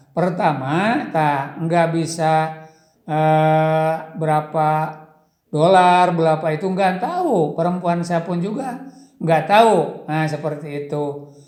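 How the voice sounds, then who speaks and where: Speaking very slowly with a Sundanese accent, a man uses a fairly high pitch and ordinary pitch variation amid audible room echo. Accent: Sundanese-accented Indonesian. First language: Sundanese (speaking Indonesian). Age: old. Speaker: former village head turned YouTuber. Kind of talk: interview. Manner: halting.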